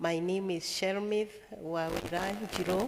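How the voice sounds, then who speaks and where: A woman talks with ordinary pitch variation amid noticeable background noise. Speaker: children's home manager. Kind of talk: interview. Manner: formal.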